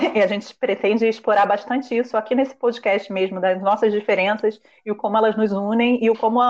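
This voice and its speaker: With an ordinary speaking voice, a woman talks at a fairly quick pace, her fairly high pitch held to fairly even intonation. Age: 20s. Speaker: podcast host. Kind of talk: casual chat.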